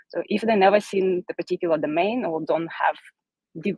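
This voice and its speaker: A woman with a non-native accent talks at a fairly quick pace in a fairly low pitch with fairly even intonation. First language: not English. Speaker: solutions architect. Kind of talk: technical presentation.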